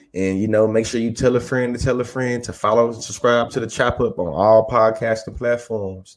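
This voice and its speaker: An ordinary speaking voice from a man, moderate in pace with fairly even intonation and hardly any pauses. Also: medium pitch for a man. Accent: American. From Texas, Bryan College Station. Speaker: podcast co-host. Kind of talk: casual chat.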